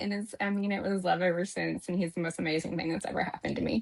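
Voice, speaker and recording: A woman with an American accent at a very fast pace. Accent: slight Texas-Georgia twang. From Texas. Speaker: new home sales professional. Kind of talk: interview conversation.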